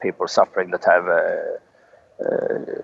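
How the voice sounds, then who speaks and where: A man talks at a moderate pace. He has a Swedish accent. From Sweden. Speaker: outdoorsman. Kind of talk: interview. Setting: Skype call from the forest outdoors. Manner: halting, many hesitations.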